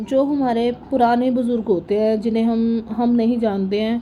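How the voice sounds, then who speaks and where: Soft-spoken and fairly slow, a woman talks in a fairly high pitch with monotone, flat intonation. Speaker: vlogger. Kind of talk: voice-over narration of family vlog.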